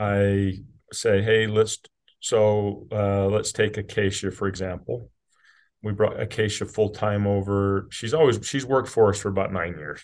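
A man with an American accent in a normal speaking voice, fairly low in pitch, at a fairly slow pace with fairly even intonation, over a quiet background. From US, rural southern Utah. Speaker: business CEO. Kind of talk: casual interview chat.

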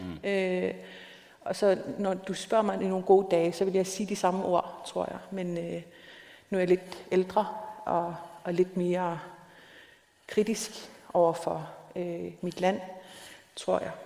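A woman speaks very slowly in a monotone, flat delivery at medium pitch, with long, frequent pauses. Audible room echo and noticeable background noise fill the recording. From South Greenland, small town. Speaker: novelist. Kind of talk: onstage interview. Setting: stage with audience. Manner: halting, many fillers.

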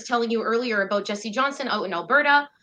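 The voice moves at a fairly quick pace with a bright, sharp tone and ordinary pitch variation. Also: woman. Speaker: activist fundraiser. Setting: video call.

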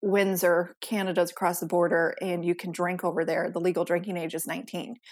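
A woman speaks in a fairly low pitch with an American accent. Her intonation is monotone and flat. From US Midwest, suburbs of Detroit, Michigan. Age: 30s. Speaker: podcast host and sober coach. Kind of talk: casual interview chat.

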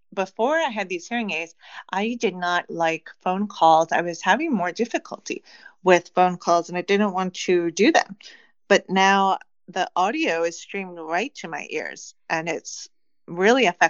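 In an unremarkable speaking voice, a woman with an American accent talks at a fairly slow pace. Her pitch is medium, with ordinary variation. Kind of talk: casual interview.

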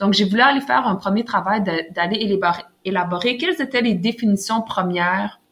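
A woman's plain, everyday voice at medium pitch, with ordinary pitch variation and a moderate pace. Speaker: author. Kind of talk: interview.

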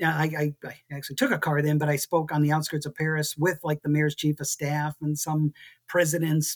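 Dry and close with no echo, this fairly high-pitched male voice is somewhat breathy, with an American accent, monotone, flat intonation and a moderate pace. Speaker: city planner. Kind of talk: casual interview. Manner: rambling, talkative.

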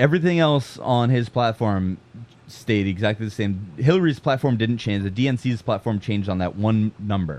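A man with a plain, everyday voice speaks at medium pitch. His intonation is lively and his pace moderate. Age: 20s. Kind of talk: casual chat.

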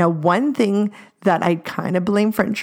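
This woman has a normal speaking voice, moving at a fairly slow pace with ordinary pitch variation. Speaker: podcast co-host. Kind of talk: casual chat.

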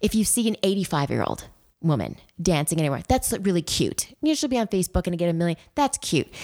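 A woman's fairly low voice with vocal fry, very wide pitch swings, a very fast pace, and very even loudness, on a very clean recording with a silent background. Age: 50s. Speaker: memoir author. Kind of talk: interview.

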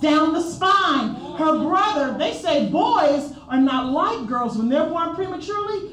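The speaker has an animated tone and a fairly slow pace, with noticeable background noise behind the voice. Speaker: churchgoer giving testimony. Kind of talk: testimony. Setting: church service. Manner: animated, fervent.

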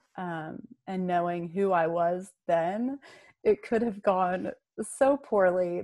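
Very slowly, a woman with an American accent speaks at a medium pitch with ordinary pitch variation. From US South, North Carolina mountains. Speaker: horse trainer and coach. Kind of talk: interview.

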